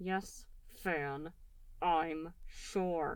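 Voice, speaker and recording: A female-sounding voice puts on a strained character voice, pitched fairly low for a woman. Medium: read story. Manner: tense, strained.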